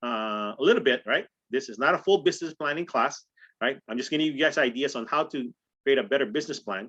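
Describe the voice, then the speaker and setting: With a bright, sharp tone and lively intonation, a man speaks at a very fast pace against a quiet background. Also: fairly high pitch for a man. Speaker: real estate trainer. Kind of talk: training call. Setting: group call. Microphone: video call.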